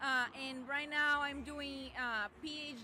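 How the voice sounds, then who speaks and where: A raised, projected voice with a Portuguese accent carries over music in the background. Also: woman. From southern Brazil, Rio Grande do Sul. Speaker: veterinarian and PhD student. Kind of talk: podcast interview. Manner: halting, with many fillers.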